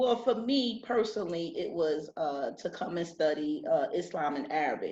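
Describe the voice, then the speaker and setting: A woman with a New Jersey accent speaks at a moderate pace with hardly any pauses, her fairly high voice dark and mellow in tone. Her pitch swings very widely. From Newark, New Jersey. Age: 40s. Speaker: English teacher. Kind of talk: interview.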